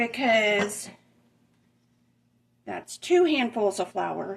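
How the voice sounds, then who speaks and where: Talking at a very slow pace, a woman keeps a fairly high pitch. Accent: Southern US. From Southern US (Alabama). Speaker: home cook. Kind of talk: casual cooking demonstration to camera. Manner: casual, chatty.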